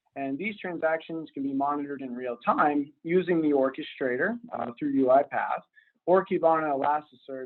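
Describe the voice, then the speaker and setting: An ordinary speaking voice, a man's, fairly high in pitch, at a moderate pace with ordinary pitch variation. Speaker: robotic operations center manager. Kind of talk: webinar presentation.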